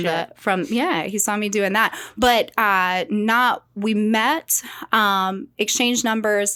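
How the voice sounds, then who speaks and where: In a Southern US accent, a woman with a fairly high pitch and a bright, sharp tone speaks at a very slow pace. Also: ordinary pitch variation, very clean recording, silent background. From South Carolina, USA. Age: 30s. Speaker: mortgage lender. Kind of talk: podcast interview answer. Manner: vibrant, lively.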